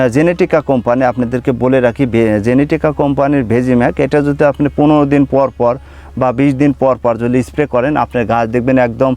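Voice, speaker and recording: The man's voice has a dark, mellow tone at a medium pitch, with fairly even intonation and very even loudness. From Bangladesh, Pabna district. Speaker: papaya farmer and seedling nursery owner. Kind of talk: farm tour video presentation. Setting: outdoors in papaya orchard.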